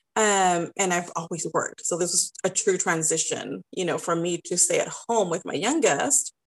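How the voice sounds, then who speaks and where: With a normal speaking voice, a woman talks at medium pitch and a moderate pace with ordinary pitch variation. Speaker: style business owner and coach. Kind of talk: casual interview chat.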